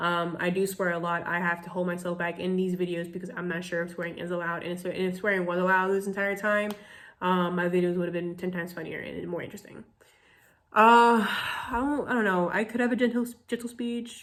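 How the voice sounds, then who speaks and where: A woman talks at a very fast pace. Her intonation stays fairly even. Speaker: college student. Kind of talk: class assignment vlog.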